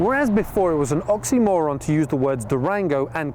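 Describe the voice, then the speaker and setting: Fairly high in pitch, a man talks at a fairly quick pace with lively intonation. Noticeable background noise runs underneath. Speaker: car reviewer. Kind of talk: scripted narration.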